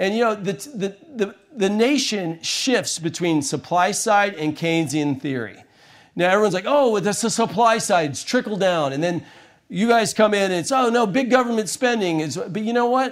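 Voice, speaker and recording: A man speaks with an American accent and a high pitch. His intonation is lively and his pace moderate. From small-town US red state. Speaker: conservative satirist and show host. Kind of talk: casual chat.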